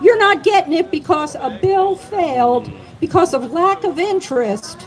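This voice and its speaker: In a Southern US accent, a woman talks at an extremely high pitch with lively intonation and an animated tone. Her pace is fairly slow, and noticeable background noise can be heard. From US South, North Carolina. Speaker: cannabis advocate. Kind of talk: public speech. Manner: animated, rousing.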